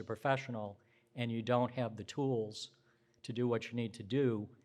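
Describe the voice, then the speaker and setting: In an unremarkable speaking voice, a man talks at a moderate pace and medium pitch with fairly even intonation. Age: 60s. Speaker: social work professor and dean. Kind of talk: conference talk. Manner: conversational, with fillers.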